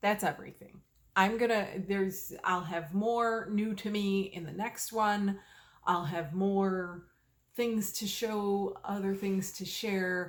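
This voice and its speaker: At a very slow pace, a woman talks with fairly even intonation. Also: medium pitch for a woman. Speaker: knitting video podcaster. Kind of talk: casual chat. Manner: slow, fishing for words; halting, many fillers.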